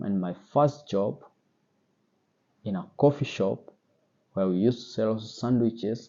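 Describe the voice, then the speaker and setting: With a Kenyan accent, a man speaks at a fairly low pitch and a fairly slow pace. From Kenya, central Kenya. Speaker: sommelier and wine vlogger. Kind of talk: personal story vlog. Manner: casual, with fillers and hesitations.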